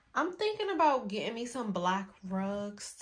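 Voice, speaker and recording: The woman's speech moves along fairly slowly. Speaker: vlogger. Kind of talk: casual vlog chat. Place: bathroom. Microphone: phone near.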